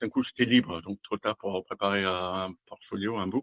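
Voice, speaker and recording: A man at a moderate pace with a German accent. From Germany. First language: German (speaking French). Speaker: automotive design executive. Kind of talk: interview. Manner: halting.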